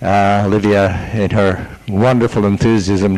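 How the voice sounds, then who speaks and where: A man with a fairly low voice talks over noticeable background noise. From Canada. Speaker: seminar participant. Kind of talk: self-introduction to group.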